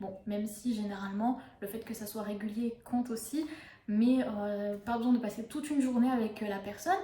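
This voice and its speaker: A woman talks at a moderate pace in a fairly high pitch, with ordinary pitch variation. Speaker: book reviewer and yoga youtuber. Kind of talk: casual book review monologue. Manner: hesitant, many fillers.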